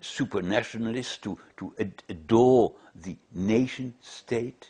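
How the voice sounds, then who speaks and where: This man's voice sits at a medium pitch with a dark, mellow tone. He talks at a very slow pace with ordinary pitch variation. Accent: German. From Germany. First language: German. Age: 80s+. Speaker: Holocaust survivor. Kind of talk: interview testimony. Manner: halting, many repetitions.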